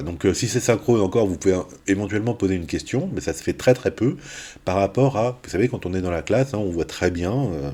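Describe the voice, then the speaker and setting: A man's dark, mellow voice sits at a fairly low pitch and moves with lively intonation. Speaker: university maths lecturer. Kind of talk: recorded lecture. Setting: pre-recorded video. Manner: hesitant, many fillers.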